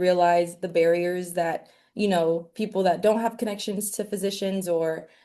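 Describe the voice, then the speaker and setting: A woman speaks with a slight Southern US accent at a moderate pace. Her medium-pitched voice has a dark, mellow tone and ordinary pitch variation. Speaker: medical student. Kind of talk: interview. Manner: casual, many fillers.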